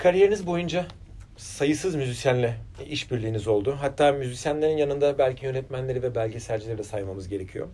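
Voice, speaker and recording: This man has a dark, mellow tone. His voice is somewhat breathy. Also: lively intonation, fairly quick pace. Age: 40s. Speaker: interviewer. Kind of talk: interview. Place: studio.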